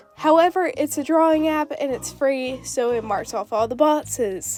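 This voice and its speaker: Music plays in the background as a woman speaks at a fairly slow pace. Her voice is high-pitched, with lively intonation. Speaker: digital artist. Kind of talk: scripted YouTube voiceover commentary.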